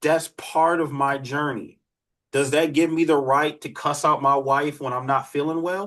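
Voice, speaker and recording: A man with an American accent talks at a fairly slow pace with a fairly high pitch. His is a plain, everyday voice, set against a quiet background. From Detroit, US Midwest. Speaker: criminologist and dating coach. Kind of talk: live online workshop with Q&A.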